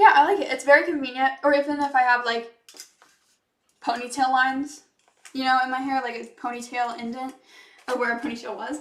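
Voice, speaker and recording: A woman talks at a fairly quick pace in a high pitch, with fairly even intonation and big swings in loudness. Her speech has long, frequent pauses. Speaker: product reviewer. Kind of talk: product demo. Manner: fast.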